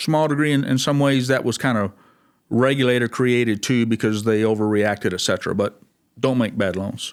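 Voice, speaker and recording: On a very clean recording with a silent background, a man talks at a moderate pace and a medium pitch. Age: 60s. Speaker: bank president. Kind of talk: interview. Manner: halting, many fillers.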